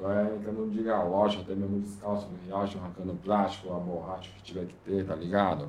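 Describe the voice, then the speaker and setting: Against audible room echo, a man's dark, mellow voice moves at a fairly quick pace. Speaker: graffiti artist and visual artist. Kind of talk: casual interview chat.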